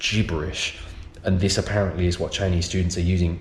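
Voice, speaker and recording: A man talks with a British accent. He keeps a fairly quick pace. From United Kingdom. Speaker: science and EAL teacher. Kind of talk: casual talk to camera.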